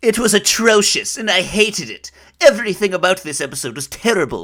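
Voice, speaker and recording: Whiny and nasal, a put-on character voice at middle pitch moves at a fairly quick pace with a whiny tone. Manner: whiny, indignant.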